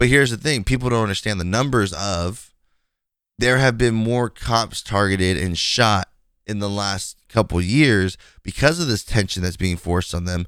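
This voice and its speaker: An unremarkable speaking voice from a man, fairly low in pitch, at a moderate pace, with ordinary pitch variation. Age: 20s. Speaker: gaming streamer and podcast host. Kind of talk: casual solo podcast monologue.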